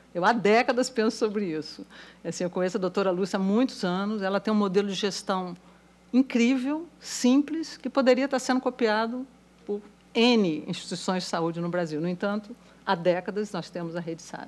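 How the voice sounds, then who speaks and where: A woman speaks at a moderate pace with a medium pitch and lively intonation. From Brazil. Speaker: economist; panelist. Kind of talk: panel talk. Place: hall. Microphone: podium.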